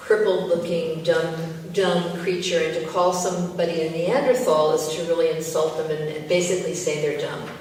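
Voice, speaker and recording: Over noticeable background noise, a woman speaks at a fairly low pitch and a fairly slow pace. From United States. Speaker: poet. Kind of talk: poetry reading.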